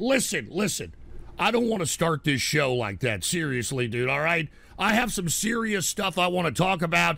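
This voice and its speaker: Putting on a hoarse, raspy character voice, a man speaks with high pitch at a moderate pace, with very wide pitch swings. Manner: serious, trying to calm down.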